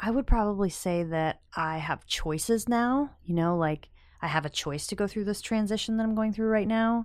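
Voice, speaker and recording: On a very clean recording with a silent background, a woman with an American accent and an ordinary speaking voice talks at a moderate pace, with medium pitch and ordinary pitch variation. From rural Pennsylvania. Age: 30s. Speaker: recovering alcoholic sharing her story. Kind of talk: interview testimony.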